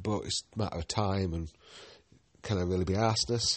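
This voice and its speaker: Moderate pace and ordinary pitch variation in a Yorkshire accent. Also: man. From Yorkshire, northern England. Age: 40s. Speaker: podcast host and guidebook writer. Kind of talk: casual solo monologue. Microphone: new phone and headset, sound may be off.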